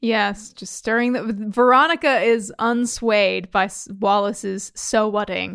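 In a very clean recording with a silent background, a woman with an American accent talks at a fairly slow pace and a fairly high pitch, in an ordinary speaking voice. Her intonation is fairly even, but there are big swings in loudness. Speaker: podcast co-host. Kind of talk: casual chat.

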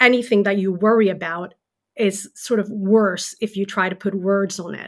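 A woman with a Swedish accent speaks at a medium pitch and a moderate pace with fairly even intonation. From Sweden. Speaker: journalist and author. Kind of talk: interview, explaining research.

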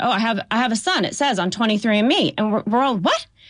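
Lively intonation runs through the speech. The voice belongs to a woman. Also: quiet background. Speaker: lawyer. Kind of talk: interview.

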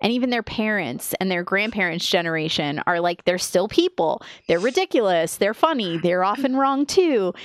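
Delivered with an American accent at a moderate pace, the speech has very wide pitch swings and hardly any pauses, with a dry, close sound with no echo against a quiet background. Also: woman, medium pitch for a woman. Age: 30s. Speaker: podcast co-host. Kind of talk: casual chat. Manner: laughs often.

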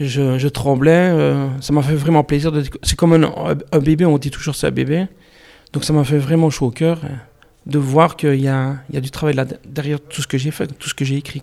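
A man's normal speaking voice, fairly high in pitch, at a moderate pace with fairly even intonation. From Belgium, Liège region. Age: 40s. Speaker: novelist. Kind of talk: interview.

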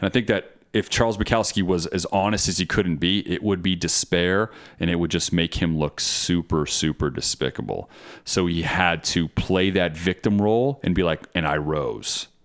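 Very deep and low, a man's voice moves at a moderate pace with ordinary pitch variation and very even loudness on a very clean recording with a silent background. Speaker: co-host. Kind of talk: casual chat.

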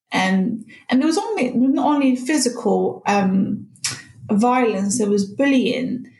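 Noticeable background noise behind a woman's high voice, fairly slow, very even in loudness, with ordinary pitch variation. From Morocco. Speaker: podcast guest sharing personal story. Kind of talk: personal testimony.

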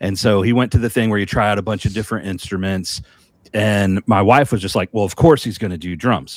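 This man's pitch is fairly low, with ordinary variation. He has an ordinary speaking voice. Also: fairly quick pace. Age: 40s. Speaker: podcast co-host and musician. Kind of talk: casual chat.

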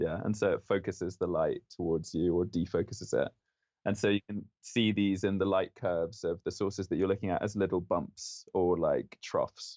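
A man is speaking at a moderate pace. His loudness stays very even. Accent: London. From London, England. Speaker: astrophysics PhD student. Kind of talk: interview.

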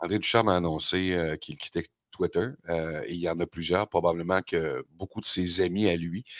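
A man with a Quebec accent speaks at a moderate pace, his pitch very deep and low. The recording is very clean with a silent background, dry and close with no echo. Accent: Québécois French. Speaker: radio host. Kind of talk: casual chat.

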